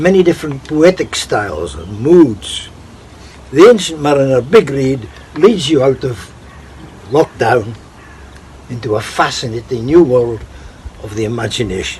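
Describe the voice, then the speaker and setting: A man talks at a medium pitch and a fairly slow pace, using lively intonation. Noticeable background noise is audible. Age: 80s+. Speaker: poetry enthusiast. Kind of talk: interview.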